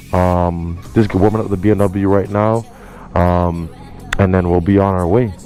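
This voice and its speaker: With music in the background, a man speaks at a moderate pace in a very deep, low pitch and monotone, flat intonation. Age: 20s. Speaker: motorcycle vlogger. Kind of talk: casual vlog talk. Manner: hesitant, many fillers.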